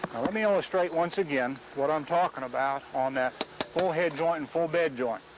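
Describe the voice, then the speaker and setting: The voice has ordinary pitch variation. Noticeable background noise runs underneath. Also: man, fairly high pitch for a man. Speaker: mason demonstrating techniques. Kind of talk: instructional demonstration. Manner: slow, deliberate.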